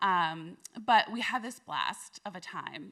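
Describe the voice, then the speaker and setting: In a very clean recording with a silent background, a woman with an American accent sounds animated, her tone bright and sharp and her intonation lively. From US, East Coast. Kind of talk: live storytelling performance. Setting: live stage in front of an audience. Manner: conversational, animated.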